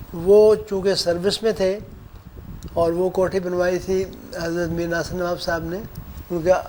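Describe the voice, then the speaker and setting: Over noticeable background noise, a man with a high pitch speaks in a monotone, flat intonation, leaving long, frequent pauses. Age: 70s. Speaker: interviewee, religious elder. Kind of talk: interview reminiscence.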